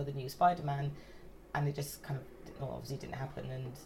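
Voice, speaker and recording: A woman speaks with a London accent. Her pitch is very deep and low. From north London, England. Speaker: guest, friend hosting the recording. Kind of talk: casual chat. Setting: friend's flat.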